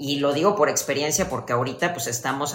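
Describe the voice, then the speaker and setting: Through noticeable background noise and audible room echo, a woman speaks in a very deep, low pitch with ordinary pitch variation. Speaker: fitness podcast co-host. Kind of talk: casual chat. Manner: animated.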